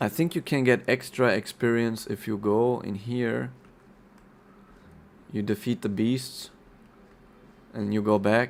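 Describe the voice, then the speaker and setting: The man talks at a fairly slow pace, with medium pitch. Long pauses come often. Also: fairly even intonation. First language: not English (English is third language). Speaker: game streamer. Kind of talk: gameplay commentary. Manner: halting.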